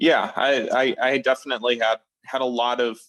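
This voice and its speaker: A man with a medium pitch and fairly even intonation speaks at a moderate pace, the sound dry and close with no echo. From upper Midwest US, Minnesota. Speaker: sleep coaching client. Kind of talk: testimony interview. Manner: halting, many fillers and repetitions.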